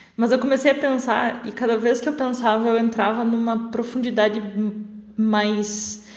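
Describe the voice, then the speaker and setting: Amid noticeable background noise and audible room echo, a woman with a fairly high pitch speaks fairly slowly with ordinary pitch variation. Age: 20s. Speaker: law lecturer. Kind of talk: recorded voice message.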